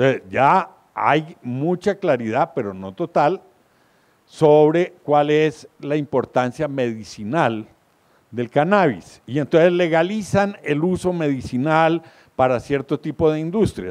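A man speaks at a very slow pace with lively intonation and a fairly high pitch against a quiet background. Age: old. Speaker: columnist and speaker; speaker. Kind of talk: lecture. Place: hall. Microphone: handheld.

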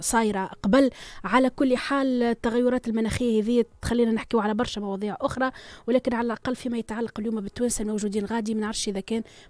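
In a Tunisian accent, a woman talks at a fairly quick pace with a fairly high pitch and fairly even intonation, the sound dry with no echo. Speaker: radio host. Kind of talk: live radio news discussion. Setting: studio. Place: studio. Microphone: studio mic.

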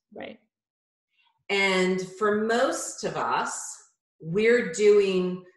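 Over a quiet background with audible room echo, a woman speaks at a very slow pace. Her pitch variation is ordinary. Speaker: yoga teacher guest. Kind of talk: interview answer. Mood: warm, humorous, relaxed. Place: home room. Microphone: video call.

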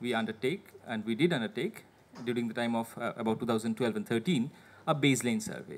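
A man speaks at a moderate pace with an Indian accent. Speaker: government administrator. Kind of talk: presentation. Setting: seminar with audience. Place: meeting room. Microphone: podium.

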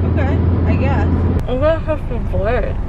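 Speech moves at a fairly quick pace with loud noise in the background. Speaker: vlogger. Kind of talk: casual vlog chat. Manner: slurred numb-mouthed speech. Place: car. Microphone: phone near.

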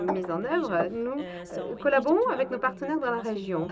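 A woman's fairly high, lively voice at a moderate pace, with noticeable background noise. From Egypt. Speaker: program director at a nonprofit; conference panelist. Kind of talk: panel presentation. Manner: halting. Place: hall. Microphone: handheld.

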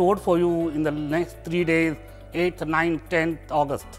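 Flat, monotone intonation runs over faint music in the background. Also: man. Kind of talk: promotional address to camera. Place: hall. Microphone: lapel.

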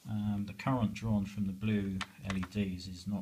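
His tone is dark and mellow. The male voice carries a somewhat breathy quality. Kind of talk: casual tutorial explanation. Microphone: phone near.

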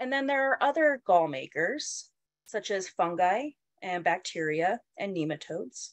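Her pitch swings very widely as this woman speaks at a moderate pace. The sound is dry with no echo, over a quiet background. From Colorado. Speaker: entomologist and university instructor. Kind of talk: lecture. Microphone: webcam.

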